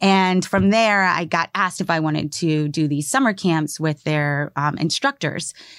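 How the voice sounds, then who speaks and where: A woman with an American accent and an ordinary speaking voice talks at a fairly low pitch with hardly any pauses. Her loudness is very even and her pitch variation ordinary, on a very clean recording with a silent background and a dry, close sound with no echo. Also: moderate pace. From Maryland, US. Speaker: spoken word artist and teacher. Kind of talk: interview conversation. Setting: studio. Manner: casual with many fillers.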